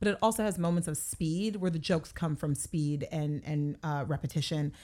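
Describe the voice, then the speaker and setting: This woman's tone is animated, with ordinary pitch variation. She speaks at a fairly quick pace. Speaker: television writer. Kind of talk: casual chat.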